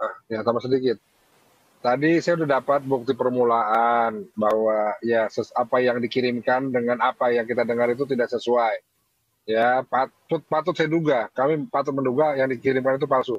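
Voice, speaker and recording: A medium-pitched man with a Sundanese accent, fairly even intonation, a moderate pace and very even loudness. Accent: Sundanese-accented Indonesian. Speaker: convert foundation worker. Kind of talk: heated debate.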